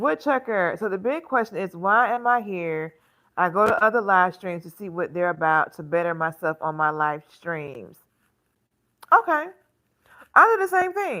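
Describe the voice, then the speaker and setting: In a very clean recording with a silent background, a woman of medium pitch speaks with an American accent at a moderate pace, using lively intonation, a bright, sharp tone, big swings in loudness, and long, frequent pauses. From Alabama, US South. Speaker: fashion content creator and live streamer. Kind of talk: casual live stream chat reading comments. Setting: live stream at home on tablet.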